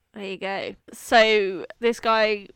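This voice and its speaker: A woman's medium-pitched voice, bright and sharp in tone, with fairly even intonation. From southern England. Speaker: podcast co-host. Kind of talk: casual chat.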